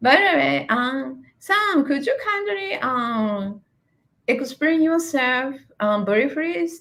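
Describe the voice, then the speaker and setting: Bright and sharp in tone, a woman with a high pitch speaks at a very slow pace, her voice making very wide pitch swings. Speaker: English coach. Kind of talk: live stream interview. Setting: live video stream. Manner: halting, many fillers.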